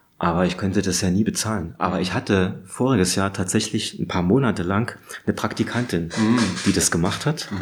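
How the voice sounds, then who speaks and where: Fairly quick delivery at a very even volume, with ordinary pitch variation and noticeable background noise. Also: man, fairly low pitch for a man. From Saxony, Radeberg near Dresden. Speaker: illustration professor and animator. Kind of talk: casual interview. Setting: studio atelier.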